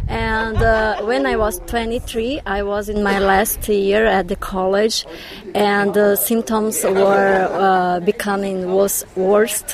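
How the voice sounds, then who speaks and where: Over noticeable background noise, a woman speaks at a very slow pace. Her medium pitch holds fairly even intonation. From Brazil, Belo Horizonte. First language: Portuguese (speaking German). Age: 30s. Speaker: blogger. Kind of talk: interview.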